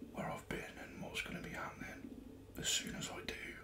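The man speaks in a whisper. He goes at a fairly slow pace. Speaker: ASMR creator. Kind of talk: casual ASMR ramble to camera. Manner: whispered. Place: home room. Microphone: studio mic.

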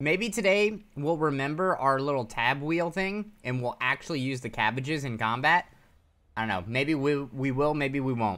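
The male speaker's tone is bright and sharp. He keeps a moderate pace. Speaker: game streamer. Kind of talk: casual gameplay commentary.

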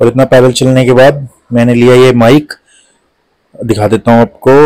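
This man has a slightly mellow tone. His pitch moves very little. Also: medium pitch for a man, moderate pace.

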